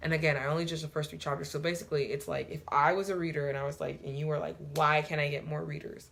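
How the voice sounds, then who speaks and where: Breathy to some degree, a woman speaks at a very deep, low pitch. Her pitch varies in an ordinary way. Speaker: book reviewer. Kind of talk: casual review, reading excerpts aloud.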